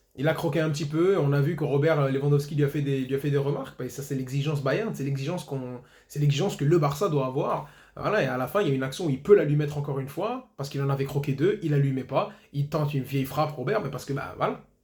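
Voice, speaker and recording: A man's fairly high, very fast voice with ordinary pitch variation amid noticeable background noise. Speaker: football YouTuber. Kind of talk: match debrief monologue.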